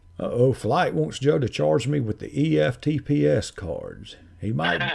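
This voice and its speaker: Speaking with a Southern accent, a man at medium pitch takes a fairly slow pace and swings his pitch very widely. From North Carolina. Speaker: scam-baiting YouTuber. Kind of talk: live stream chat.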